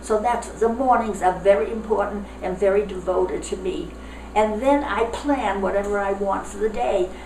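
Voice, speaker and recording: Noticeable background noise sits behind a woman speaking at a moderate pace. Her medium pitch shows ordinary variation. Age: 80s+. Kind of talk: interview answer. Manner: upbeat.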